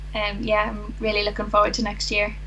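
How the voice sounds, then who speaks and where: The voice carries a Northern Irish accent. Noticeable background noise and audible room echo are present. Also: woman. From Northern Ireland. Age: 20s. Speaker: dentistry graduate. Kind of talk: casual interview chat.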